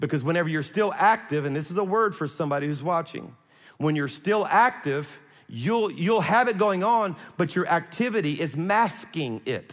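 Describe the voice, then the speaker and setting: A man with an American accent, high pitch and lively intonation at a moderate pace, on a very clean recording with a silent background. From South Louisiana. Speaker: pastor. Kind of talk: sermon.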